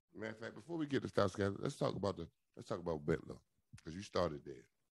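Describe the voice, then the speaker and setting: A man with a fairly low pitch talks at a very fast pace in an animated tone. His loudness swings widely and his pitch swings are very wide. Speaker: sports talk host. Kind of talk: casual interview.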